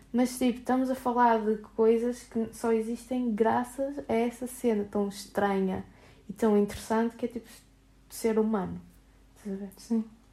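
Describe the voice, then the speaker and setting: A woman's fairly high voice with a dark, mellow tone, fairly slow and monotone with long, frequent pauses, on a very clean recording with a silent background. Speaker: podcast co-host. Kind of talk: casual chat.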